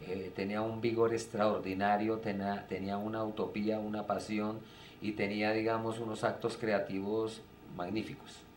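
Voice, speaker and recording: A man at a fairly slow pace, his intonation fairly even, with audible room echo. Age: 60s. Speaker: theatre director. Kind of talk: interview. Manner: hesitant, many fillers.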